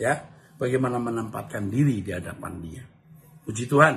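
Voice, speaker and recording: A man with vocal fry and lively intonation at a fairly quick pace. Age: 60s. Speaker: pastor. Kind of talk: Q&A answering read-out viewer questions in live stream. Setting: live stream.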